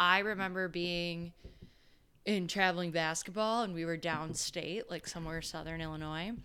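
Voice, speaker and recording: A woman's normal speaking voice, fairly low in pitch, with an American accent, a moderate pace and fairly even intonation. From Chicago area, US. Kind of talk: casual chat.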